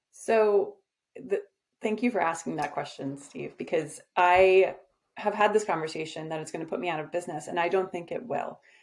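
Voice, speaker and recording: Here a woman speaks with a fairly low pitch. Her pitch variation is ordinary. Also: moderate pace. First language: Czech and English. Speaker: agency owner. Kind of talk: interview. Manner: uses many filler ums.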